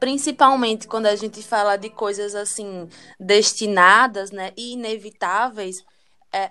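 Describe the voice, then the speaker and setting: A woman with a bright, sharp tone talks at a fairly slow pace, her intonation fairly even while her loudness swings widely. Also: medium pitch for a woman. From Brazil, Aracaju, Sergipe (Northeast). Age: 20s. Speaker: tarot reader. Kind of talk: casual chat.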